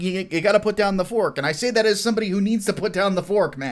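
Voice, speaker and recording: Words come very fast, spoken in an American accent. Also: man. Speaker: YouTube commentator. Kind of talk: casual livestream commentary. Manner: animated.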